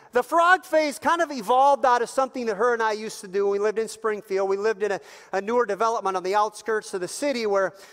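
A man with a high-pitched voice speaks at a very fast pace with hardly any pauses. The background is quiet. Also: ordinary pitch variation. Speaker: pastor. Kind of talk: sermon. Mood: warm, humorous storytelling. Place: church.

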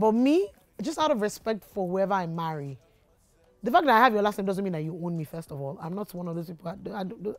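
A woman speaks at a very fast pace with lively intonation. The sound is dry, with no echo. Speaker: YouTuber. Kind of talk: casual Q&A vlog. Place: studio.

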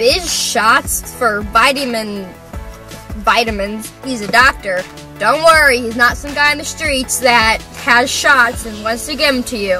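Against clear music in the background, a woman with a high pitch and ordinary pitch variation speaks at a fairly slow pace, with big swings in loudness and a dry sound with no echo. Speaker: vlogger. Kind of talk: casual vlog chat. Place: car. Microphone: camera far.

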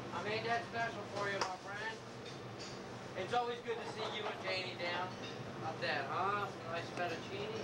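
Speech at a moderate pace under loud background noise. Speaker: cook hosting family guests. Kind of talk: casual home-video banter. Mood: jovial, joking. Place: kitchen. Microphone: old recording.

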